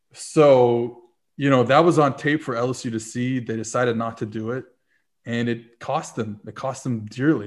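Against a quiet background, a man speaks in a normal speaking voice at a medium pitch with fairly even intonation. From New Orleans, US South. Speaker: football analyst and writer. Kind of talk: casual interview chat.

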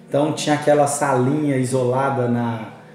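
Noticeable background noise and audible room echo surround a man with a fairly high voice. He speaks at a moderate pace with fairly even intonation. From Belo Horizonte, Minas Gerais, Brazil. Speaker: youth pastor and lawyer. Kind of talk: casual chat.

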